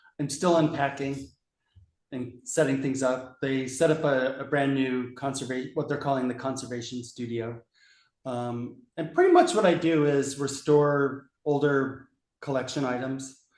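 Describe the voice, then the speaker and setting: At a fairly slow pace, a man speaks with monotone, flat intonation. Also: fairly high pitch for a man. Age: 60s. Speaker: book conservator. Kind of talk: casual chat.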